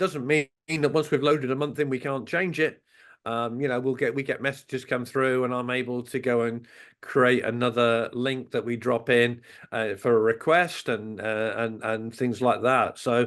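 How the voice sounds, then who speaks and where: Against a quiet background, a man with a Norfolk accent speaks with fairly even intonation. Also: medium pitch for a man, moderate pace. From England, West Norfolk. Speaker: radio station owner and program director. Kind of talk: interview. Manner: halting, many fillers.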